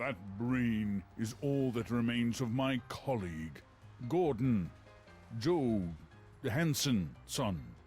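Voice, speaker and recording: Against clear background music, a put-on character voice moves at a very slow pace with long, frequent pauses. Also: man, medium pitch for a man. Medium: video game. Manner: smooth, falsely friendly, chuckling.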